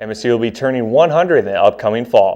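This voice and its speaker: A man speaks at a very fast pace. His voice has vocal fry. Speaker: college newscast anchor. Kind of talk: college TV newscast anchor delivery.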